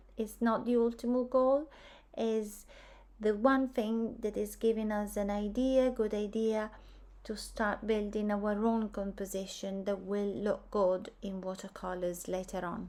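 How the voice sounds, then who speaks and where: A woman's fairly high-pitched voice with a dark, mellow tone, fairly even intonation and a non-native accent, in a very clean recording with a silent background. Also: fairly slow pace. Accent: foreign accent, self-noted. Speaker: art teacher. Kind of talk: tutorial.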